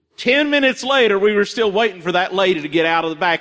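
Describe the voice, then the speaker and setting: A man with a high pitch uses a raised, projected voice that moves through very wide pitch swings. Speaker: pastor. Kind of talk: sermon. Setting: church. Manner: loud.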